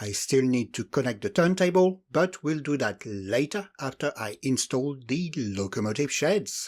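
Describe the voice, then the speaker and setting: On a very clean recording with a silent background, a man with a non-native accent speaks very slowly, his pitch swinging very widely. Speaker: model railway hobbyist. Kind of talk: scripted hobby tutorial voiceover.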